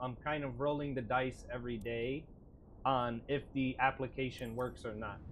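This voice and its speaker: A man talks in a plain, everyday voice at a medium pitch. His intonation stays fairly even against a quiet background. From Puerto Rican, United States. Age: 30s. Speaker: gaming streamer. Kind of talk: live gameplay stream chat. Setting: live stream, camera off.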